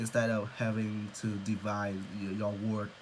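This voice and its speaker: A man's fairly low voice at a very slow pace, with audible room echo and noticeable background noise. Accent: Vietnamese. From Vietnam. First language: Vietnamese. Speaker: English learner. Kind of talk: speaking practice monologue. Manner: halting, many fillers.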